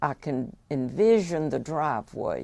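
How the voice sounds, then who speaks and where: In a very clean recording with a silent background, a woman talks with a Georgia accent. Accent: Southern American (Georgia). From Buckhead, Atlanta, Georgia. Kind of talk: oral history interview answer.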